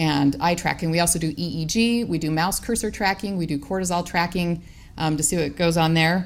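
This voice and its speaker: A woman with a fairly low pitch talks at a fairly quick pace and ordinary pitch variation, with audible room echo around her voice. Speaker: professor. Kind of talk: conference talk. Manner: fast.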